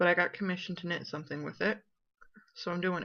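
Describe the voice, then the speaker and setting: A woman talks at a fairly quick pace with vocal fry. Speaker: knitting podcast host. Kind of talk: casual video podcast chat.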